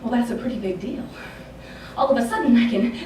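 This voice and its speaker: A woman's voice over noticeable background noise. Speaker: spoken word performer. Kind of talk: spoken word poetry performance. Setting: live theatre stage.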